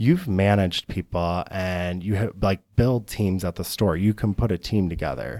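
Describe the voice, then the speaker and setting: Heard in a very clean recording with a silent background and a dry, close sound with no echo, a man with an ordinary speaking voice and an American accent talks at a moderate pace and fairly low pitch. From Michigan, east side near Detroit. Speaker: optical store owner. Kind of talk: casual interview. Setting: studio.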